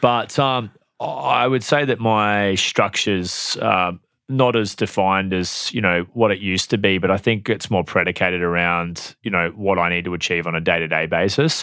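With an Australian accent, a man speaks at a moderate pace in a very deep, low voice with a bright, sharp tone and ordinary pitch variation, in a very clean recording over a silent background. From Australia (New South Wales, then Queensland). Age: 30s. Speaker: real estate agency owner. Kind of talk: interview. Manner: hesitant, many fillers.

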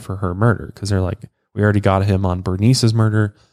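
A man with a Colorado accent at a very fast pace, in a very clean recording with a silent background. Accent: Colorado country. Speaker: true crime podcast host. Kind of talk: casual true crime storytelling. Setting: studio.

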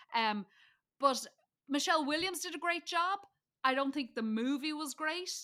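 In a very clean recording with a silent background, a woman with a Dublin accent talks at a moderate pace in a bright, sharp voice with very wide pitch swings. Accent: Dublin Irish. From Ireland, Dublin. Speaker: comedian. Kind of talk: casual chat. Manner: animated.

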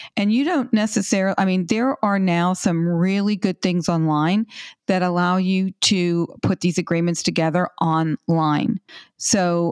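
Against a quiet background, a woman with an unremarkable speaking voice talks at a fairly slow pace, her loudness very even, her pitch variation ordinary, and the sound dry and close with no echo. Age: 60s. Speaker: financial educator on money and relationships. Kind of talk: interview. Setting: remote call.

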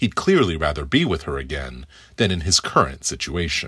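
A man talks at a fairly quick pace in a bright, sharp tone with vocal fry and very wide pitch swings. The recording is very clean, with a silent background. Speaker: film critic. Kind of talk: scripted review.

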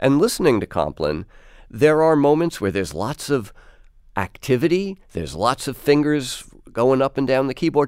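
On a very clean recording with a silent background, a man with a plain, everyday voice talks at a moderate pace and medium pitch with lively intonation. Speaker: radio host. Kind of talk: radio interview. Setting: studio.

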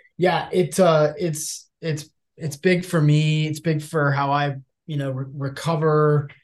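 With a somewhat breathy, fairly high pitch, a man speaks at a very slow pace in a monotone, flat intonation. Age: 40s. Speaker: podcast host. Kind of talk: interview.

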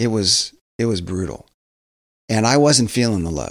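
An ordinary speaking voice with ordinary pitch variation, on a very clean recording with a silent background. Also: man. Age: 50s. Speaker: pastor and author. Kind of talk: interview conversation. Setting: studio.

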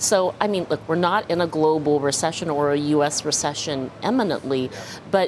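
A woman with a very deep, low voice is heard over noticeable background noise. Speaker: bank research chief. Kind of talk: live TV interview. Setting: in-person studio.

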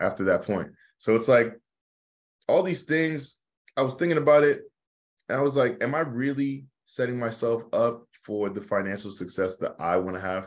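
In an American accent, a man with an unremarkable speaking voice talks at a moderate pace, medium in pitch, with lively intonation. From US with teen years in Nigeria. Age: 20s. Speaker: real estate investor. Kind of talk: podcast interview.

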